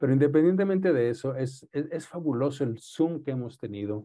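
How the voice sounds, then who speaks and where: Using lively intonation at a moderate pace, a man speaks in a plain, everyday voice. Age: 60s. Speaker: radiologist lecturer. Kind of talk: lecture.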